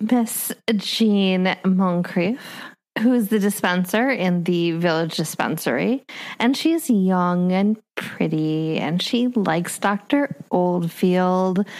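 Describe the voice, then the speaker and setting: At a very slow pace, a woman with an American accent speaks at medium pitch and very even loudness. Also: ordinary pitch variation. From US Midwest, Minnesota. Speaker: podcast co-host. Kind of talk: casual chat about books.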